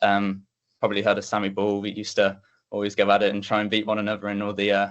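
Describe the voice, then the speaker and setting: A man speaks with a West Midlands accent. His pitch is fairly low and his pace fairly quick. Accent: Coventry English. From English Midlands, Coventry. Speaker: athlete. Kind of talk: interview. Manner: casual, hesitant with fillers.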